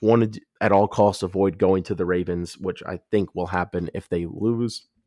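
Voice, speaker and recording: A man speaks in a very deep, low voice with a dark, mellow tone. His intonation stays monotone and flat over a quiet background. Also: moderate pace. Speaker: sports commentator. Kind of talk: sports predictions monologue. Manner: casual, with filler words.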